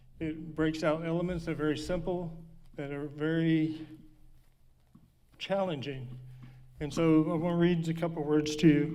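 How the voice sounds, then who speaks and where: Pitched fairly high, a man speaks at a fairly slow pace in a dark, mellow tone with monotone, flat intonation. Room echo is audible. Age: 60s. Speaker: speaker living with Parkinson's. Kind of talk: personal talk to an audience. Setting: stage with audience. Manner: halting.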